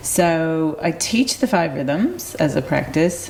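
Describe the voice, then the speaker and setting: A woman with an American accent speaks very slowly in a fairly low pitch. Noticeable background noise runs behind her. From US Midwest (Detroit, Michigan). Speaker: movement teacher and wellness coach. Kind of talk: interview conversation. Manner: halting, many fillers.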